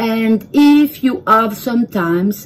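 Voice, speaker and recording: A woman in a French accent, fairly high-pitched, at a very slow pace and with lively intonation. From France. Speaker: home cook video creator. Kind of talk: tutorial. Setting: home kitchen. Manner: halting.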